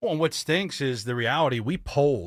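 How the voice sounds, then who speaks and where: In a Philadelphia accent, a man talks very fast in an animated tone with very wide pitch swings, the sound dry and close with no echo on a very clean recording with a silent background. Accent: Philadelphia-area. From Delaware County, Pennsylvania. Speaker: political campaign organizer. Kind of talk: radio interview. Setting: radio studio.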